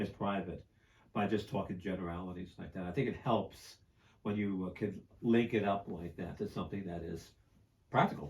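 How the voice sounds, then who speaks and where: The speaker talks at a fairly quick pace with an American accent. The voice is somewhat breathy. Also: man, fairly low pitch for a man. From New York, Queens. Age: 70s. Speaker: psychologist and professor. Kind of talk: casual interview. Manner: energetic.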